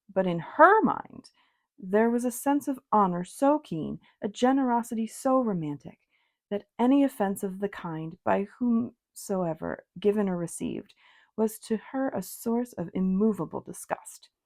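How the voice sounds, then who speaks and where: In a very clean recording with a silent background, a woman speaks at a fairly slow pace with lively intonation. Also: fairly high pitch for a woman. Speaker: tarot reader and ASMR reader. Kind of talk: soft-spoken audiobook-style reading of a classic novel. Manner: soft-spoken, calm, relaxing.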